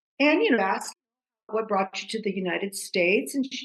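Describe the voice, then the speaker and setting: Her intonation is lively, and her voice is somewhat breathy. The woman keeps a moderate pace. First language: Greek. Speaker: podcast guest, counselor. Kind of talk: casual interview chat.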